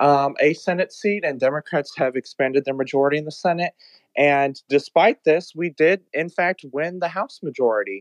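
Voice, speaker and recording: Dry and close with no echo, a man's unremarkable speaking voice sits at a fairly high pitch, moving at a moderate pace with ordinary pitch variation. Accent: American. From Texas. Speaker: caller. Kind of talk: call-in political discussion.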